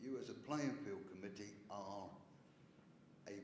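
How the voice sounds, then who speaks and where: Fairly slow speech from a man, with ordinary pitch variation and audible room echo. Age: 70s. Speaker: parish councillor. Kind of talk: council meeting debate. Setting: parish council meeting.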